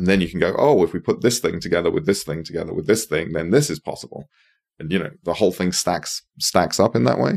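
A man's very deep, low voice with lively intonation at a very fast pace, in a dry, close sound with no echo and a very clean recording over a silent background. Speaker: investor in regenerative land. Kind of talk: casual interview chat.

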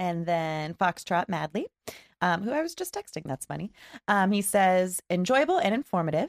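Recorded with a dry, close sound and no echo, a woman uses a normal speaking voice at a medium pitch, talking at a moderate pace with lively intonation. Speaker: podcast co-host. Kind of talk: casual chat. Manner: laughs often.

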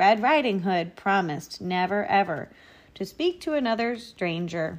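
Someone reads aloud in a natural voice, and the intonation is lively.

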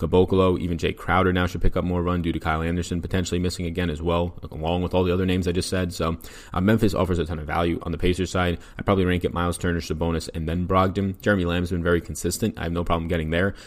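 Very fast and in a flat monotone, a man speaks at a very deep, low pitch. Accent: New York. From New York. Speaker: fantasy sports analyst. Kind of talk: podcast sports picks breakdown. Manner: fast talker.

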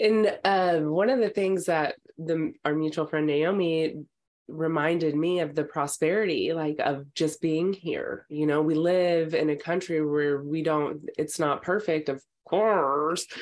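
In an American accent, a woman talks at a fairly slow pace with an unremarkable speaking voice, fairly low pitch, fairly even intonation and very even loudness. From Texas. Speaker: actress and comedian. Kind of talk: casual chat.

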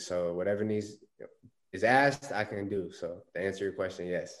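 A man with an American accent talks at a moderate pace. His pitch sits fairly low. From Phoenix, Arizona. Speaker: pro football player. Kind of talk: interview.

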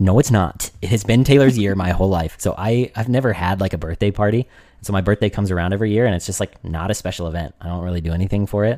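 On a very clean recording with a silent background, a man with a fairly low voice and an animated tone races along at a very fast pace with ordinary pitch variation and hardly any pauses. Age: 20s. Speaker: podcast co-host. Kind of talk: casual chat.

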